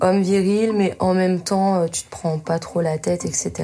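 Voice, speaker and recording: A woman speaks fairly slowly at a fairly low pitch, her dark, mellow tone somewhat breathy and her intonation fairly even. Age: 30s. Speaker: adapted physical activity teacher. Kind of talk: casual chat. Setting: in total darkness.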